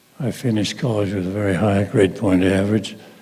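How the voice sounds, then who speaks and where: With an American accent, a man speaks at a moderate pace and a fairly low pitch with fairly even intonation, while background noise is noticeable. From US West (Blanding, southeastern Utah). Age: 80s+. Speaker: war veteran. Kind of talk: speech at school assembly.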